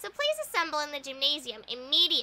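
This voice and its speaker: A put-on character voice rattles along at a very fast pace. The pitch is high. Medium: fan dub. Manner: lighthearted, whimsical.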